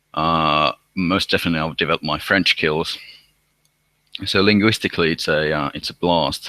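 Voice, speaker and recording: Here a man with a very deep, low pitch and a bright, sharp tone speaks at a moderate pace with fairly even intonation and long, frequent pauses, in a dry, close sound with no echo. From Finland. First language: Finnish. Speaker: university student. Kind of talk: live online Q&A. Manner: halting, many repetitions.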